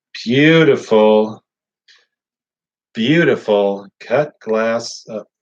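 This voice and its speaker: Speaking at a very slow pace, a man has an American accent. His pitch is medium with ordinary variation. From Oklahoma/Missouri. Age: 40s. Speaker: auction business owner. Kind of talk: casual livestream chat while working. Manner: halting. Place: workshop. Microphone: camera far.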